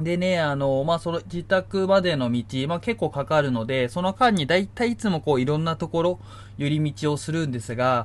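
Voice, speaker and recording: Somewhat breathy and fairly high-pitched, a man speaks at a moderate pace with very wide pitch swings against a quiet background. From Niigata, Japan. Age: 30s. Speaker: podcast host. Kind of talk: casual solo talk. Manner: many fillers.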